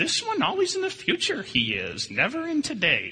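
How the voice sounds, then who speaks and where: A man puts on a character voice with extremely high pitch. He keeps a moderate pace. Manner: strange inverted phrasing.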